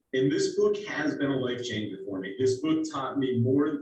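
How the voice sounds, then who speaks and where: With ordinary pitch variation, this man rattles off his words at a very fast pace. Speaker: real estate team leader and instructor. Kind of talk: presentation. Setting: video call. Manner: animated.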